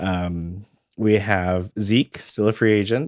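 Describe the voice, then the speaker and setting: On a very clean recording with a silent background, a man with a fairly low pitch speaks in a tired tone with ordinary pitch variation. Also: dry, close sound with no echo. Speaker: fantasy football podcast host and league commissioner. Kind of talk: casual chat. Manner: low-energy, sounds tired.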